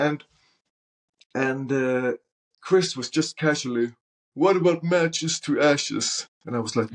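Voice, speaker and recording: At a fairly slow pace with long, frequent pauses, the speaker uses ordinary pitch variation and a Norwegian accent. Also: man, fairly high pitch for a man. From Norway. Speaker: soul singer. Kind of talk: casual interview chat. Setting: podcast interview.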